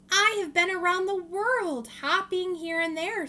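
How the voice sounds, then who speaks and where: A put-on character voice, raised and projected, at a moderate pace. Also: woman, extremely high pitch for a woman. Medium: read story. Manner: proud, animated.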